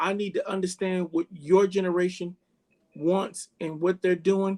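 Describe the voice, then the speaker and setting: A man speaks loudly at a fairly slow pace, high in pitch with a dark, mellow tone. The sound is dry and close, with no echo. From Bahamas and Jamaica. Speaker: chef. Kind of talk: interview conversation. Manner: animated.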